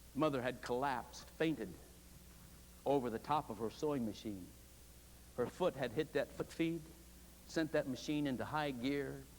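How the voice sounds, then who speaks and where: In an American accent, the speaker talks at a moderate pace with vocal fry, ordinary pitch variation, and long, frequent pauses. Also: man, medium pitch for a man. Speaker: preaching professor delivering a sermon. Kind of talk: sermon delivered to a seminary congregation. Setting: chapel, live congregation.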